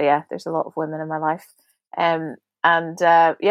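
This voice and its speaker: A woman with a Northern Irish accent at a fairly slow pace, dry and close with no echo, against a quiet background. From Belfast, Northern Ireland. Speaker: podcast guest, prayer ministry director.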